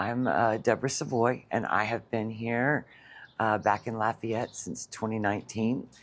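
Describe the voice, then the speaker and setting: At a moderate pace, a woman speaks in a very deep, low voice with ordinary pitch variation. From Louisiana, Cajun country (Breaux Bridge). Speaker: customer. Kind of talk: customer testimonial. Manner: hesitant, many fillers.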